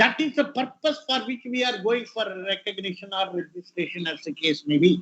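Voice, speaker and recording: With an Indian accent, a man talks at a moderate pace in a high pitch, with hardly any pauses. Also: lively intonation. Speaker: retired IP official, guest speaker. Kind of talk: lecture.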